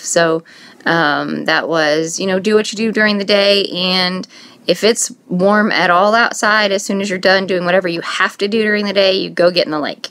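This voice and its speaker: In an American accent, a woman speaks at medium pitch. Her intonation is fairly even and her pace moderate. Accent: northern Indiana accent, noticed by others. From US Midwest, northern Indiana. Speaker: scrapbooking vlogger. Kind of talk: casual vlog chat. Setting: home, filming on iPad.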